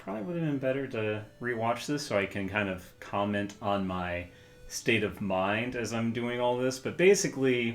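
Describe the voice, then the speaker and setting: Audible room echo surrounds this recording. A man speaks at a moderate pace with ordinary pitch variation. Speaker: gaming streamer. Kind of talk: casual gameplay commentary. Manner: hesitant, many fillers.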